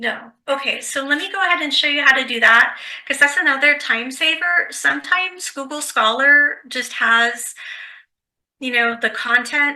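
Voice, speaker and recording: Raised and projected, a woman's high-pitched voice carries a bright, sharp tone at a moderate pace. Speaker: librarian. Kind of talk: online workshop tutorial. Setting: online video workshop.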